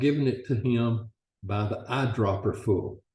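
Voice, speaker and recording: A man speaks with a dark, mellow tone and a somewhat breathy sound. His pace is fairly slow. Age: 70s. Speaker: customer testimonial. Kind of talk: testimony.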